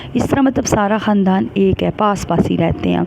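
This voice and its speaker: Over noticeable background noise, a woman speaks quietly at medium pitch and a moderate pace. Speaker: family vlogger. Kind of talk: casual vlog monologue. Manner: quiet, unable to speak loudly.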